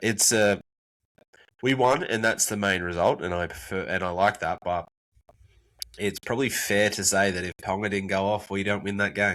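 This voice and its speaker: A man with an Australian accent speaks at a fairly low pitch in a bright, sharp tone. His pace is moderate and his intonation fairly even. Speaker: podcast co-host. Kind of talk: casual chat.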